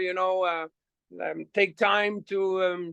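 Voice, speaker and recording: A man's raised, projected voice, high in pitch, bright and sharp in tone, with a slight French Canadian accent, a fairly slow pace, a dry, close sound with no echo, and a quiet background. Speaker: rock singer. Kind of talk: casual chat. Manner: halting with many repetitions.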